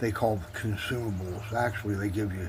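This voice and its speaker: A man talks at a fairly quick clip in a fairly low pitch. Noticeable background noise and audible room echo fill the recording. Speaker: DIY YouTuber trying out welding tools. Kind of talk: casual voice-over commentary on own video.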